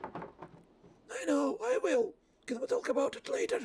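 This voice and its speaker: A raspy, put-on character voice from a man, pitched extremely high. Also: fairly slow pace. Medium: virtual streamer.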